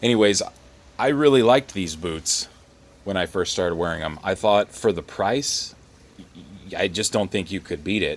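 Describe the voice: With lively intonation, a man talks in a low voice.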